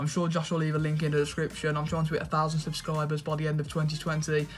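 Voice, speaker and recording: Over music in the background, a man with a fairly high pitch talks in a monotone, flat intonation. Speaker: football fan youtuber. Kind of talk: casual football chat. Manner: halting, many fillers.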